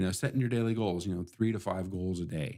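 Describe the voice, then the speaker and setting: Soft-spoken and very deep-pitched, a man talks with fairly even intonation and a dark, mellow tone, the sound dry and close with no echo. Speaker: IT support business owner and live stream host. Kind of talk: casual solo live stream talk. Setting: live stream in office studio. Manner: soft-spoken, talking too low.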